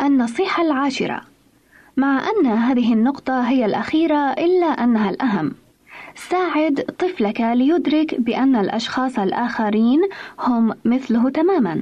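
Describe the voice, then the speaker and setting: Her pitch is high and her intonation lively as a woman talks at a fairly slow pace. Her loudness stays very even. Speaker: radio program presenter. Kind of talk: scripted radio talk on parenting. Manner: formal.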